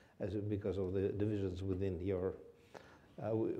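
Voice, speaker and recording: A man talks in a dark, mellow tone. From Russia. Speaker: Russian foreign policy expert; speaker. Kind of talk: panel discussion answer. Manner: halting, many fillers. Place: hall. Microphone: lapel.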